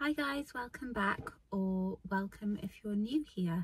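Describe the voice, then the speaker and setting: A woman talks at a fairly slow pace in a somewhat breathy voice. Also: dry sound with no echo. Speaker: hiking vlogger. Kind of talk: casual vlog chat. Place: car. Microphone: phone near.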